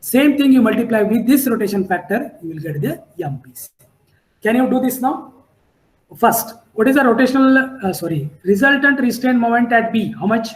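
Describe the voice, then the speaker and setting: A man's extremely high voice at a moderate pace, with lively intonation, big swings in loudness and audible room echo. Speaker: civil engineering lecturer. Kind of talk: lecture.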